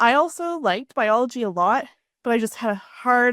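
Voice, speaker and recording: With a Canadian accent, this unremarkable speaking voice moves at a moderate pace with lively intonation, its sound dry and close with no echo on a very clean recording with a silent background. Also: woman. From Canada. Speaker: podcast host. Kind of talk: podcast interview.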